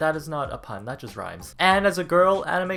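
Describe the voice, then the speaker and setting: A man talks at a moderate pace with a bright, sharp tone. The recording is very clean, with a silent background. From Canada. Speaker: YouTube vlogger. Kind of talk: casual vlog Q&A. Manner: animated.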